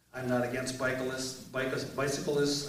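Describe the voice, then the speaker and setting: A man speaks at a moderate pace and medium pitch, with noticeable background noise and audible room echo. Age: 60s. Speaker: mayoral candidate, retired military veteran. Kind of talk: candidate forum opening statement. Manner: halting, filler-heavy.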